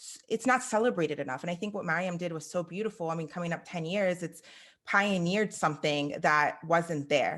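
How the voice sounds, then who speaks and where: Against a quiet background, a woman with an American accent speaks fairly quickly in a plain, everyday voice, fairly low in pitch, with ordinary pitch variation and big swings in loudness. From US, Iranian heritage. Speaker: podcast host. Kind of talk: interview.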